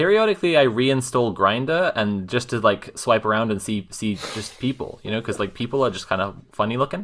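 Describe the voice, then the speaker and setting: A man talks in a plain, everyday voice at medium pitch, with lively intonation. He barely pauses at all. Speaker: tabletop game player. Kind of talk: casual tabletop roleplaying game podcast.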